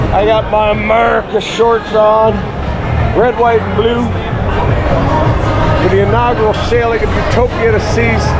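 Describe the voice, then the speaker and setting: The speech moves at a moderate pace, broken by long, frequent pauses. Music plays in the background. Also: man. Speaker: travel vlogger. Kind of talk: casual vlog chat. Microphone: phone near.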